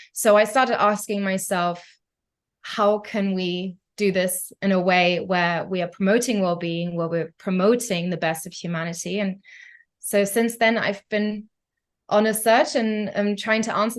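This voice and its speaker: A woman with a slight German accent speaks at a moderate pace in a medium pitch, her intonation fairly even against a quiet background. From Germany. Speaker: concert pianist and tech entrepreneur. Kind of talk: podcast interview. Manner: hesitant, many fillers.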